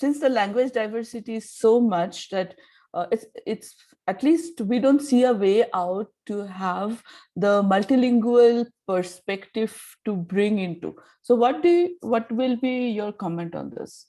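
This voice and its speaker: Fairly high in pitch with a dark, mellow tone, a woman speaks in an Indian accent with lively intonation. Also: fairly slow pace. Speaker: audience member. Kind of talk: asking a question.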